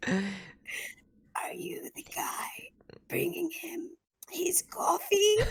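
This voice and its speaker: Putting on a character voice, a woman speaks extremely high and raspy at a very slow pace. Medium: read story.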